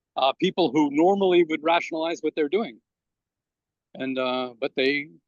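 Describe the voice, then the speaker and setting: A man with a New York accent, fairly high pitch, ordinary pitch variation and a moderate pace. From Brooklyn, New York. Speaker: immigrant rights activist. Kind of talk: interview. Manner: halting.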